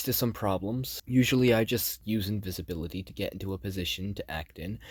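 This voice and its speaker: Fairly low in pitch, a man with an ordinary speaking voice talks at a fairly quick pace with lively intonation on a very clean recording with a silent background. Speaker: gaming YouTuber. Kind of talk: scripted narration.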